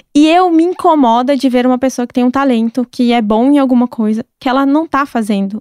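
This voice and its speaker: A woman talks fairly quickly in a high pitch with ordinary pitch variation, in a dry, close sound with no echo and a very clean recording with a silent background. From southern Brazil, Curitiba. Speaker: chef and gastronomy content creator. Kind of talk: casual interview chat.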